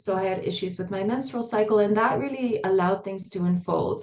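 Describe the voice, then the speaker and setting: At a fairly quick pace, a woman speaks at a medium pitch in a dark, mellow tone that is somewhat breathy. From Netherlands, raised in various countries. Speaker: tantra and intimacy teacher. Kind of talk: podcast interview.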